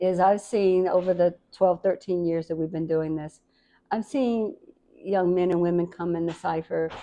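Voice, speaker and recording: A woman speaks in a plain, everyday voice at a fairly low pitch. Her pace is fairly slow and her intonation fairly even. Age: 60s. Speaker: community elder of a rap cypher organization. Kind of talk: interview.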